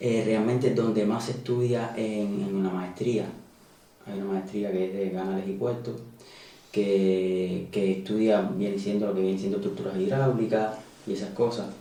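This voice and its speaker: A man with a Cuban accent, fairly low pitch, fairly even intonation and a moderate pace, with audible room echo and noticeable background noise. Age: 30s. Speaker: emigrant, hydraulic engineer. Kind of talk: interview. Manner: hesitant, many fillers.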